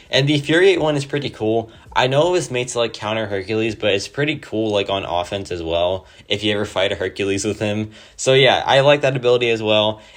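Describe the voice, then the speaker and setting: Speaking at a very fast pace, a man uses a medium pitch and lively intonation. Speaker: gaming youtuber. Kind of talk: gameplay commentary. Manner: casual, many fillers like 'like'.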